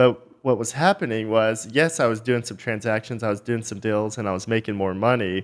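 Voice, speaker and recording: A man with a plain, everyday voice, fairly quick in pace, with ordinary pitch variation. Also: medium pitch for a man, hardly any pauses. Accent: American. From Texas, small town north of Dallas. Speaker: company founder and CEO. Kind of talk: interview.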